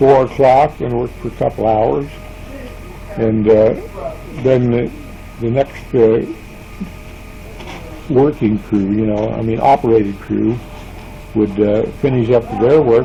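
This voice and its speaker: Pausing long and often, a man speaks at a fairly slow pace with medium pitch and fairly even intonation against noticeable background noise. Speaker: retired factory worker. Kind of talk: interview answer. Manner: quiet, hesitant.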